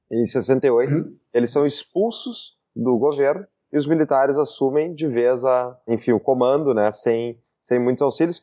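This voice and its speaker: A man in a normal speaking voice at a medium pitch and a moderate pace. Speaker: podcast host. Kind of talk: casual chat.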